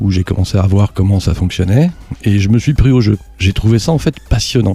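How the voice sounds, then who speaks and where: A dark, mellow, somewhat breathy voice at a fairly quick pace, with ordinary pitch variation and very even loudness. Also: man, fairly low pitch for a man. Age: 50s. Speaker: aeroclub president and private pilot. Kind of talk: podcast interview.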